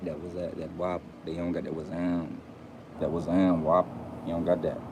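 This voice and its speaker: A man with an American accent talks at a moderate pace in a very deep, low voice. His intonation is monotone and flat, and background noise is noticeable. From Fort Pierce, Florida. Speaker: YouTuber commentator. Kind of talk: casual monologue to camera.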